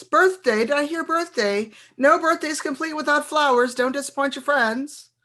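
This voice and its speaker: The voice is a put-on character voice with a sing-song lilt. It moves at a moderate pace. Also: woman, high pitch for a woman. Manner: coaxing, salesy.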